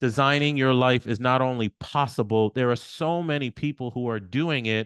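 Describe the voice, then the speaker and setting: Against a quiet background, a man talks at a moderate pace in a medium pitch with ordinary pitch variation, the sound dry and close with no echo. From New York, Haitian family. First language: Haitian Creole. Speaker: podcast host. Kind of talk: podcast interview, casual conversation; podcast intro.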